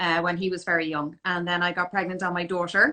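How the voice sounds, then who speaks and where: A woman with a Dublin accent speaks at medium pitch in a bright, sharp tone against a quiet background. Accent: Dublin Irish. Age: 40s. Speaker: fashion business owner and image consultant. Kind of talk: interview on a live stream.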